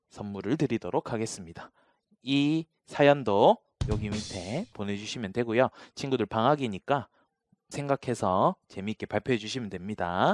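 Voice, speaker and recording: The speech moves at a moderate pace with ordinary pitch variation, and the sound is dry with no echo. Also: man. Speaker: kids channel host. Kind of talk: casual talk to young viewers. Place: home room. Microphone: headset.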